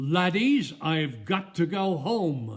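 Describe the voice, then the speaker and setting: This man puts on a character voice. His pitch sits high. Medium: read story.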